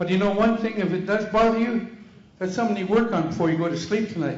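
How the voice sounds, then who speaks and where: This man's voice is loud, with ordinary pitch variation. Room echo is audible. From Canada, British Columbia (First Nations, Alert Bay). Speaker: First Nations community member. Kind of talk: public meeting comment. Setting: conference room with microphone.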